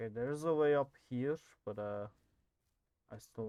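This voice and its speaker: The man's voice has a dark, mellow tone, captured with a dry, close sound and no echo. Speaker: gaming youtuber. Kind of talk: gameplay commentary. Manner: soft-spoken.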